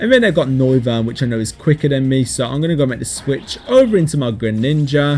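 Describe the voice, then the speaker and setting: A man's medium-pitched voice at a fairly quick pace, with ordinary pitch variation and music in the background. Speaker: gaming YouTuber. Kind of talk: gameplay commentary. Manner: fast.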